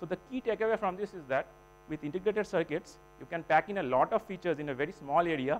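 Over light background noise, a man talks at a very fast pace in a high pitch. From India. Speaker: PhD researcher presenting; presenter. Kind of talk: technical conference talk. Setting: symposium hall with audience. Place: hall.

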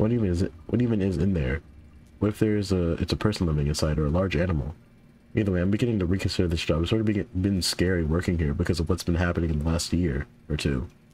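The man's voice is very deep and low in pitch, dark and mellow in tone, and somewhat breathy. His pitch varies an ordinary amount, and his loudness stays very even. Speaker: gaming youtuber. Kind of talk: let's play commentary. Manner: casual, rambling.

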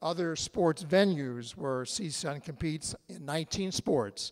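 A man speaking against a quiet background. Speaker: event host at a podium. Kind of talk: formal welcome speech. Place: hall. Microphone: podium.

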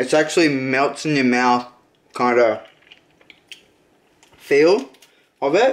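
A man speaks slowly at a medium pitch. His pitch varies in an ordinary way.

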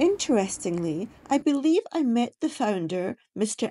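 A woman's dark, mellow tone at a moderate pace, with very wide pitch swings. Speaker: travel vlogger. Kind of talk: casual vlog chat. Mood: nostalgic, amused. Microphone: phone near.

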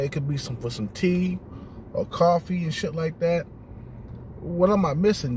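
Light background noise sits behind a dry sound with no echo. A man talks at a moderate pace with ordinary pitch variation. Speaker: vlogger. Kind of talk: casual vlog chat. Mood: relaxed, blunt. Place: car. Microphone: phone near.

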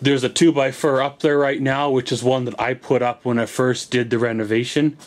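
A man speaks in a flat monotone. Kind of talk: casual vlog chat. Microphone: phone near.

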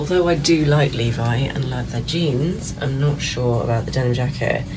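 Noticeable background noise accompanies the woman as she talks at a moderate pace. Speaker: fashion vlogger. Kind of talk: casual try-on vlog chat. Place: shop. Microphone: phone near.

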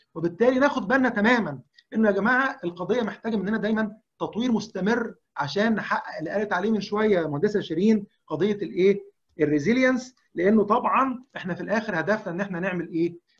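Speaking at a fairly quick pace, a man keeps ordinary pitch variation in his high-pitched voice. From Egypt. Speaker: leadership development consultant. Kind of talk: webinar presentation. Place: home room. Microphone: video call.

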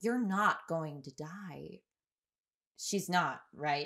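In a put-on character voice, a woman speaks at a very slow pace with low pitch, ordinary pitch variation, a fairly bright tone and vocal fry, on a very clean recording with a silent background.

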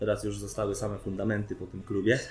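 Light background noise and audible room echo surround this man as he speaks. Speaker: freestyle rapper; guest. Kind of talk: casual interview. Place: bar. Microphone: camera far.

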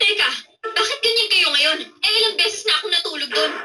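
An extremely high-pitched woman's voice at a very fast pace, with ordinary pitch variation and very even loudness. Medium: fan dub. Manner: defensive, exasperated.

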